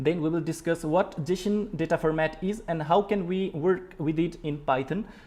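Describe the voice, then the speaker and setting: The speech moves at a moderate pace with hardly any pauses. Intonation stays fairly even. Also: man, high pitch for a man. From Nepal. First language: Nepali. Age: 20s. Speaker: programming teacher. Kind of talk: live-stream tutorial. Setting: live stream. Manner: halting, many filler words.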